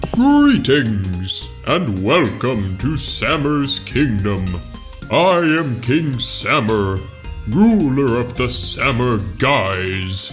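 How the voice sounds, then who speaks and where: Over clear music in the background, a man at a medium pitch performs a put-on character voice at a very slow pace. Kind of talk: fan-film voice acting. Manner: pompous, comedic.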